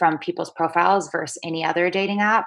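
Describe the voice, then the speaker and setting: A plain, everyday voice with an American accent and ordinary pitch variation. The recording is very clean, with a silent background. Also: woman. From US Pacific Northwest, Seattle. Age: 30s. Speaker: dating and personal growth blogger. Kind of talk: casual interview chat.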